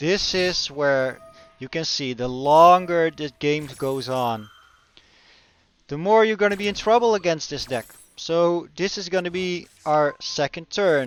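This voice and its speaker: A man's fairly high voice at a very slow pace, lively in intonation, with a dry, close sound and no echo. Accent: Dutch. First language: Dutch. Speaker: gaming YouTuber. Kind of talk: gameplay commentary. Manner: halting.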